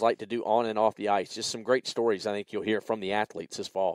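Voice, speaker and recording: A man with a Southern US accent talks at a very fast pace, on a very clean recording with a silent background and a dry, close sound with no echo. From US South, South Carolina. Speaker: podcast host. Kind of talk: casual podcast chat.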